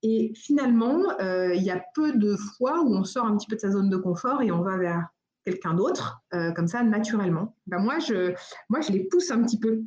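A woman speaks with lively intonation and very even loudness throughout. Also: medium pitch for a woman, moderate pace. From United States. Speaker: entrepreneur, venue founder. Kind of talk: interview. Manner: hesitant, many fillers and repetitions.

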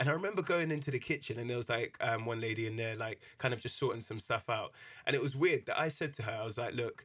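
A man speaks very fast in a London accent, his tone bright and sharp. His pitch sits in the medium range with ordinary variation. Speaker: podcast host. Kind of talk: casual chat. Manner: animated.

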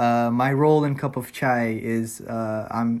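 In an American accent, a man talks in a medium pitch with fairly even intonation. He has an ordinary speaking voice. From US, migrated from Turkey as child. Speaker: college student, podcast panelist. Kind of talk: casual chat.

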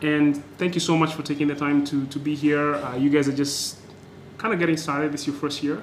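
Over noticeable background noise, a man talks at a fairly quick pace. His fairly high voice stays flat and monotone. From Kenya, Nairobi. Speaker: podcast host. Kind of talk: scripted intro; interview. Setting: noisy temporary recording location.

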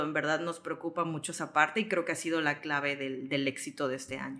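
A woman speaks with a very deep, low pitch. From Mexico, Yucatán (Mérida). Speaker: travel content creator. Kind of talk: interview conversation.

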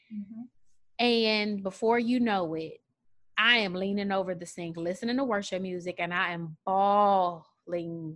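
In a very clean recording with a silent background, a woman with a plain, everyday voice speaks fairly slowly at a medium pitch with ordinary pitch variation. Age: 30s. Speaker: teacher, speaker and coach. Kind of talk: casual chat.

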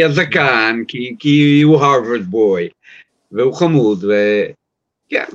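A man's voice at a very even loudness. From US, New York. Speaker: sports journalist. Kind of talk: casual chat.

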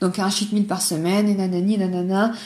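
Amid audible room echo, a woman speaks at a moderate pace in a somewhat breathy voice. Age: 20s. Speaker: podcaster sharing personal eating disorder story. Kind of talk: personal testimony monologue. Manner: casual, hesitant with fillers. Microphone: poor sound quality, older recording setup.

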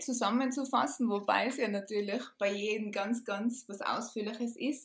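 A woman with a fairly high pitch and ordinary pitch variation talks at a moderate pace in a somewhat breathy voice. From Austria, Tyrol. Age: 30s. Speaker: podcast guest recovered from chronic fatigue. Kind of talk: casual interview chat.

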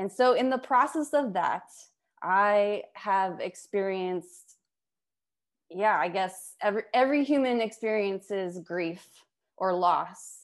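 A woman with an American accent has a normal speaking voice, medium in pitch with ordinary pitch variation, over a quiet background. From Las Vegas, US. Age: 30s. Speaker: film director and surf collective founder. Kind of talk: interview on a community video call.

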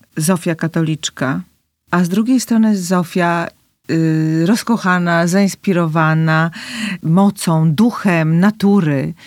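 A woman with a fairly low pitch and ordinary pitch variation speaks at a very slow pace, in a dry, close sound with no echo on a very clean recording with a silent background. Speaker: podcast host. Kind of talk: interview, casual conversation.

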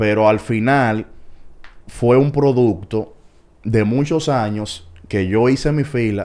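A dark, mellow tone with ordinary pitch variation. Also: man. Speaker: baseball commentator. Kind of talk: casual chat.

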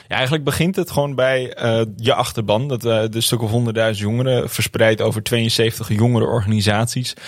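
With hardly any pauses, a man talks at a moderate pace in a medium pitch with ordinary pitch variation, noticeable background noise behind him. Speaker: climate activist and university student. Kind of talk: interview.

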